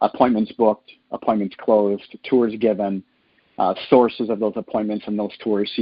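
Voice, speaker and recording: A man talks in a Minnesota accent at a fairly low pitch. His intonation is monotone and flat. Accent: Upper Midwest (Minnesota), noticeable. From northern Minnesota. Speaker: franchise sales executive. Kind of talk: conference call Q&A. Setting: phone conference call. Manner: casual, filler-heavy with uh.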